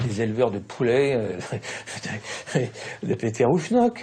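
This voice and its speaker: Somewhat breathy, a man's voice moves in a lively intonation. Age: 70s. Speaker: former Senate official interviewed. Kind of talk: interview. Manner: halting, hesitant with fillers.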